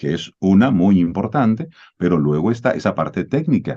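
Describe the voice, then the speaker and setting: The man's pitch swings very widely as he speaks at a moderate pace. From Dominican Republic. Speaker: voice-over announcer. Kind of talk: interview answer.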